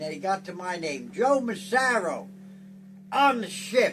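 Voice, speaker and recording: A man speaking at a very slow pace, with audible room echo. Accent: New Jersey. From US Northeast, northern New Jersey (Clifton). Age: 90s. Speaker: war veteran. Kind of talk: interview. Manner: halting.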